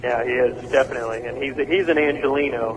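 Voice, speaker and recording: Noticeable background noise fills the space as this man talks at a very fast pace. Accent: American. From Oklahoma. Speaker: rock singer. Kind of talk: radio interview. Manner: halting.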